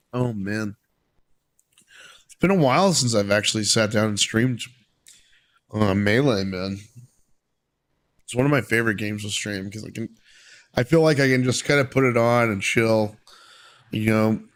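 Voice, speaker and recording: A man's medium-pitched voice at a moderate pace, with ordinary pitch variation, big swings in loudness and long, frequent pauses. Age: 20s. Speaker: streamer. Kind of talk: casual chat.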